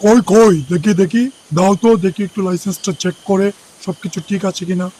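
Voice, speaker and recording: In a cartoonish character voice, a man talks at a moderate pace with a high pitch and fairly even intonation. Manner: bossy, threatening.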